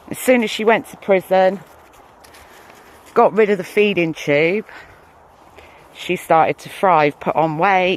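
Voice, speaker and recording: Someone with an American accent talks at a fairly slow pace with long, frequent pauses, over noticeable background noise. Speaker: YouTuber. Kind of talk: direct-to-camera rant. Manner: hesitant, frequent ums.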